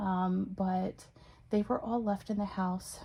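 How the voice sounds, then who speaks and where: Soft-spoken, a woman talks in a dark, mellow, somewhat breathy tone at a medium pitch with monotone, flat intonation. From Texas, Corsicana. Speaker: channel owner restoring a historic house. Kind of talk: casual vlog. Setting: parents' house, indoors. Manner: hesitant, many fillers.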